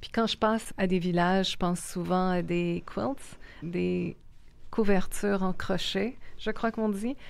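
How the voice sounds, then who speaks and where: Very slowly, a woman with a Quebec accent speaks at medium pitch. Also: ordinary pitch variation. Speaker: podcast host. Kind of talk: interview conversation.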